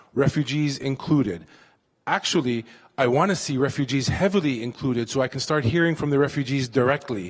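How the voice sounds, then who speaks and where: A man's fairly high-pitched voice with an American accent, fairly quick pace and ordinary pitch variation, on a very clean recording with a silent background. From US (Youngstown, Ohio). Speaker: panelist. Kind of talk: panel closing remarks. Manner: fast.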